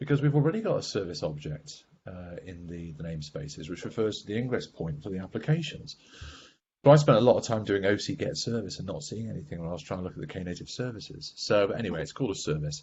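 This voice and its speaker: A man with a fairly low voice talks at a very fast pace, somewhat breathy, with very wide pitch swings and big swings in loudness. Light background noise sits underneath. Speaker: software architect giving a tech demo; presenter. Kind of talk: technical demo presentation. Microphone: video call.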